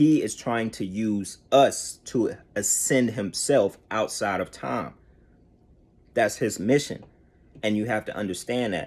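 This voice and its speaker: On a very clean recording with a silent background, a man talks in a normal speaking voice, fairly low in pitch, with ordinary pitch variation. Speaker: conspiracy theory vlogger. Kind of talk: casual monologue.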